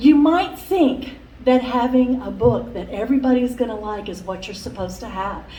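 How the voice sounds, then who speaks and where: A woman with a high pitch speaks at a moderate pace, with audible room echo and noticeable background noise in the recording. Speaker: workshop speaker. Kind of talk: conference talk. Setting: conference room with microphone. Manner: loud.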